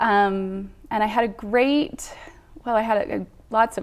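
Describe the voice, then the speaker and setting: An unremarkable speaking voice with an American accent moves through ordinary pitch variation. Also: woman. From Utah. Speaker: church member sharing faith story. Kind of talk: testimony.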